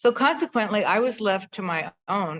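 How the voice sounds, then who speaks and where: A woman speaks in a normal speaking voice at medium pitch. Her pace is fairly slow. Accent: American. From Northern California. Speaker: host of a conversation video. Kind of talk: personal storytelling to an audience.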